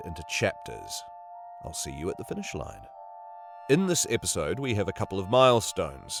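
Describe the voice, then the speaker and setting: Music plays in the background as a man talks at a fairly quick pace. His medium pitch swings very widely. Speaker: audiobook narrator. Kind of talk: casual podcast introduction.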